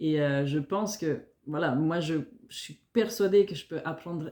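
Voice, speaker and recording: Speaking at a fairly slow pace, a woman with a slight Italian-Swiss accent has a very deep, low pitch, a dark, mellow tone and ordinary pitch variation. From Italian-speaking Switzerland (Ticino). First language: Italian (speaking French). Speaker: fitness coach and nutritionist. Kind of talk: self-introduction video for job application. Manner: hesitant, many fillers.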